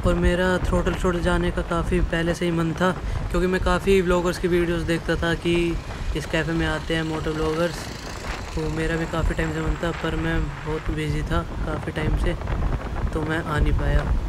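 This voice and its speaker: Noticeable background noise accompanies speech delivered at a moderate pace. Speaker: moto vlogger. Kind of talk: casual vlog chat. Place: motorbike. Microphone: helmet.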